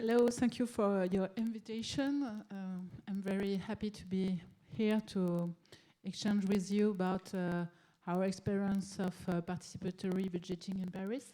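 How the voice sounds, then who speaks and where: A woman speaks in a French accent at medium pitch with a dark, mellow tone. Her pace is moderate and her intonation fairly even. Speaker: city politician. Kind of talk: conference presentation. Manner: halting, many fillers.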